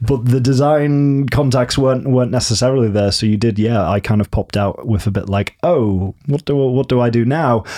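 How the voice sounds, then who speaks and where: A man with a dark, mellow tone and medium pitch speaks at a moderate pace, with ordinary pitch variation and hardly any pauses. His loudness stays very even. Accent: northern English. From northern England. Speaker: theatre designer. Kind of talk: casual interview.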